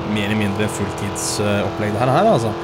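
A man talks fairly quickly while music plays in the background. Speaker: gaming streamer. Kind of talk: casual gameplay commentary. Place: home room.

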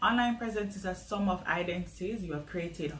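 A woman talks at a moderate pace with light noise in the background. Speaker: small business marketing vlogger. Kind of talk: tutorial.

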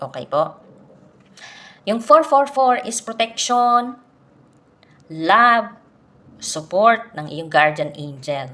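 A woman with a fairly high pitch and a bright, sharp tone speaks very slowly, with long, frequent pauses, big swings in loudness and very wide pitch swings. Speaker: spiritual content creator. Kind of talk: explanatory monologue to camera. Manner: gentle, polite.

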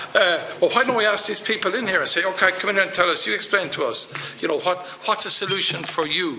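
With an Irish accent, a man talks at a very fast pace with a high pitch and ordinary pitch variation over light background noise. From Ireland. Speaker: politician. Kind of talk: committee hearing. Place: meeting room. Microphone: podium.

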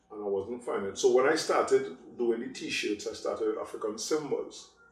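A man's voice with audible room echo. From Trinidad, Sangre Grande area; Trinidad. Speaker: clothing designer and store owner. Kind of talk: interview; interview answer. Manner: forceful, outspoken. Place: home room.

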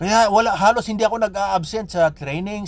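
A man with a high-pitched voice talks at a fairly quick pace with lively intonation. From Philippines. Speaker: vlogger. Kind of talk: personal storytelling monologue. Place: car. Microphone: phone near.

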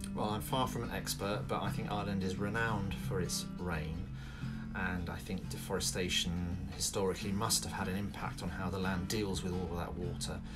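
Over loud background music, a man speaks at a fairly quick pace with ordinary pitch variation. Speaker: vlogger renovating a cottage. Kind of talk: casual vlog chat. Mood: friendly, smiling. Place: home room. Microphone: phone near.

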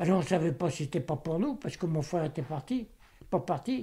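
Talking at a medium speed, a man has a high pitch and a dark, mellow tone. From Vienne, Isère, France. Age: 80s+. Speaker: Second World War witness. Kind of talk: interview answer. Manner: hesitant, halting.

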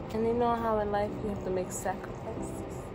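Noticeable background noise surrounds the speaker. A woman talks at a fairly quick pace. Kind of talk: casual vlog chat.

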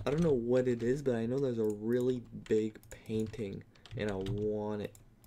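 This man speaks quietly at a medium pitch. His intonation stays fairly even. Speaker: gaming youtuber. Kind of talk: gameplay commentary. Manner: halting.

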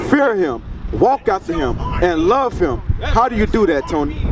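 A man with very wide pitch swings over noticeable background noise. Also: moderate pace. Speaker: street preacher. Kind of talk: street preaching dialogue. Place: street. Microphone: handheld.

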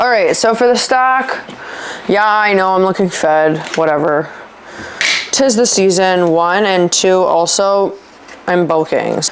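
Over light background noise, the voice moves at a fairly slow pace. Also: woman. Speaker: fitness vlogger. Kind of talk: casual vlog chat. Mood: casual, mildly annoyed. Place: kitchen. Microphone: lapel.

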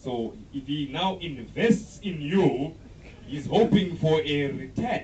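A man's very slow speech with lively intonation, audible room echo and light background noise. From Zimbabwe. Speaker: comedian. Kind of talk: stand-up. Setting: stage with audience. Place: stage.

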